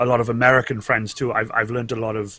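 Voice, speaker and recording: Speaking with a Welsh accent, a man has a bright, sharp tone at medium pitch. The recording is very clean, with a silent background. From Wales. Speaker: cosplayer and Twitch streamer. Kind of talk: casual interview chat. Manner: halting, many repeats.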